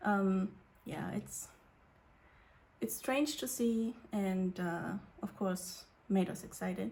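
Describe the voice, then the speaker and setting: A quiet, somewhat breathy woman at a medium pitch speaks at a very slow pace with lively intonation and long, frequent pauses. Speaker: youtuber. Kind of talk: casual vlog chat. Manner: hesitant, many fillers.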